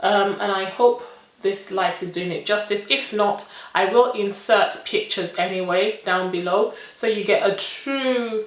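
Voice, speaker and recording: A woman with a medium pitch talks at a fairly slow pace amid audible room echo and noticeable background noise. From Nigerian British. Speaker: beauty vlogger. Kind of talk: makeup review tutorial. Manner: animated.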